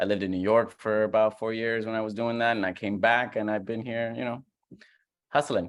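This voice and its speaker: With a Puerto Rican accent, a man speaks at a fairly quick pace in monotone, flat intonation over a quiet background. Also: medium pitch for a man. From Puerto Rico. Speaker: comedian. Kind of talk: casual chat.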